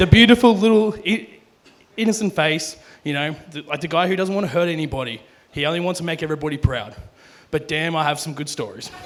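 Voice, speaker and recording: Over noticeable background noise, a man with an Australian accent talks at a very fast pace in a fairly high voice with ordinary pitch variation. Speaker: best man. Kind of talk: wedding speech. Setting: wedding reception. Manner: loud.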